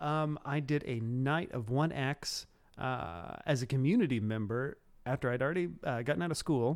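A man with a Midwestern American accent speaks at a medium pitch and a moderate pace. His intonation is lively, and the recording is very clean with a silent background. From Cumberland County, central Illinois. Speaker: city tourism director. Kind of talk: casual interview chat.

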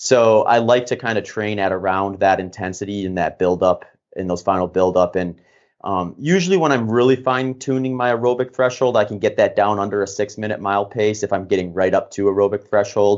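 A man talks at a fairly quick pace in a fairly low pitch with ordinary pitch variation. It is an ordinary speaking voice. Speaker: ultramarathon runner and coach. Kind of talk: casual interview. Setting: home studio with green screen, remote call.

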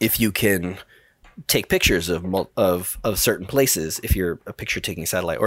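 Very fast speech with ordinary pitch variation, on a very clean recording with a silent background. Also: man. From New York, the Bronx. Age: 40s. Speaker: mission control director at a space software company. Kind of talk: podcast interview.

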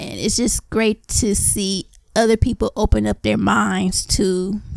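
A woman speaks in an excited, animated tone. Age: adult. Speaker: podcast guest, anime fan. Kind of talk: casual chat.

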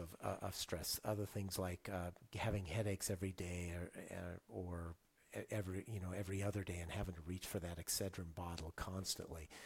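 A man with a very deep, low pitch and a somewhat breathy voice talks at a fairly quick pace. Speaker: stress relief specialist. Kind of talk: casual interview conversation.

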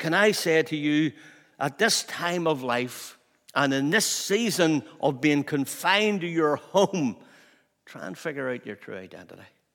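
Here a man uses a fairly high pitch and lively intonation. His pace is fairly slow. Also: big swings in loudness. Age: 60s. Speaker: pastor. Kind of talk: sermon.

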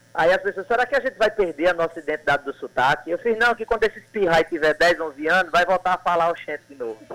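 This man talks at a very fast pace with hardly any pauses, his high pitch carrying lively intonation. His tone is bright and sharp, and the sound is dry and close with no echo. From Sertão of Paraíba, Brazil (Cajazeiras). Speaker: poet and actor. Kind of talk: casual radio interview.

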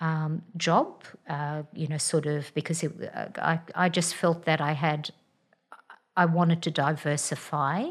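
In a fairly low pitch, a woman speaks with fairly even intonation. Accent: Australian. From Australia. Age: 60s. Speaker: general practitioner. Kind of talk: interview, personal story. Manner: hesitant, many fillers.

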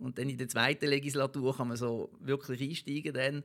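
There's vocal fry in this man's voice as he talks at a fairly quick pace. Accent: Basel. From Basel-Landschaft, Switzerland. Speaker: local politician and lobbyist. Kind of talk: interview.

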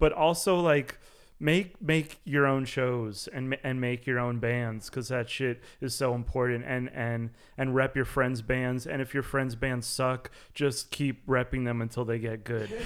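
Using a plain, everyday voice, a man talks at a fairly slow pace and medium pitch with fairly even intonation. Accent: American. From New York City. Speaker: drummer in a band. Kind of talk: interview chat.

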